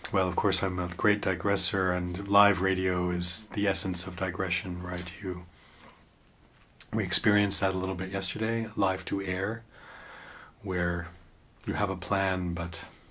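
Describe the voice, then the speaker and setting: Over noticeable background noise, a man speaks in a very deep, low voice at a fairly slow pace. His intonation is monotone and flat, with long, frequent pauses. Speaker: radio artist and voice performer. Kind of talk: interview answer. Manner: thoughtful, playful with words.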